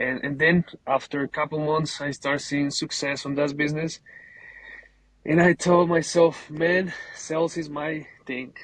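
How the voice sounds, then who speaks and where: A man with a Colombian accent speaks fairly slowly at a fairly high pitch, in a flat monotone with long, frequent pauses. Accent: Colombian Spanish accent, noticeable. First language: Spanish. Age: 20s. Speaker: painting business owner. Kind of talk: casual interview. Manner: halting, repeats words.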